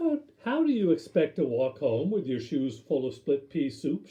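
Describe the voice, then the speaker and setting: A man uses a put-on character voice at a fairly high pitch. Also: moderate pace. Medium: read story.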